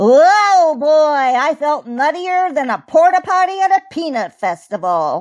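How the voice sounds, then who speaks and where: In a put-on character voice, a woman talks at a high pitch and a fairly slow pace with hardly any pauses. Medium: read story. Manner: punning, jittery.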